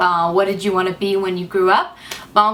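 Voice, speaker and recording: A woman with an English accent. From United States. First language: English (speaking French). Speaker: beauty vlogger. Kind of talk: casual vlog talk to camera. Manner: halting, many hesitations.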